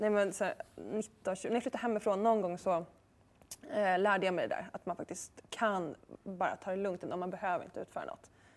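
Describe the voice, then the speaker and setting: On a very clean recording with a silent background, a woman uses an unremarkable speaking voice at a medium pitch, with ordinary pitch variation and a fairly quick pace. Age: 30s. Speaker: author and journalist. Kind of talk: interview.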